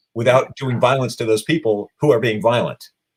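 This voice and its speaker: At a fairly quick pace, a man talks in a medium pitch that is somewhat breathy, with ordinary pitch variation. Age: 60s. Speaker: animal rights activist. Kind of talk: interview.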